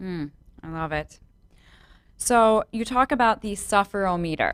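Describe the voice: A woman with a Chicago accent speaks at a medium pitch. Her intonation is lively and her pace fairly slow. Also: dry, close sound with no echo.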